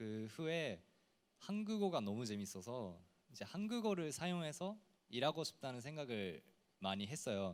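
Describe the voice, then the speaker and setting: Very wide pitch swings at a fairly slow pace, in a Japanese accent. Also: man. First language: Japanese (speaking Korean). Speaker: TV personality. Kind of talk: panel discussion.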